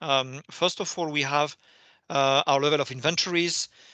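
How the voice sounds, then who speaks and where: A voice with a French accent and a bright, sharp tone speaks at a moderate pace with fairly even intonation, in a dry, close sound with no echo and a quiet background. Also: man. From France. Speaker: company finance executive. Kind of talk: investor Q&A. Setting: video call. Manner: hesitant, many fillers and repetitions.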